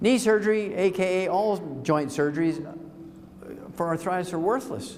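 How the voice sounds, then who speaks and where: A man with a high pitch speaks at a moderate pace with ordinary pitch variation and big swings in loudness, with noticeable background noise and audible room echo. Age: 70s. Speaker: health lecturer. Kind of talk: lecture. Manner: animated.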